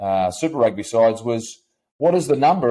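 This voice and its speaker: Here a man speaks with a New Zealand accent. His pitch is medium and his pace fairly quick. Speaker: podcast host, rugby presenter. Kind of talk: casual debate.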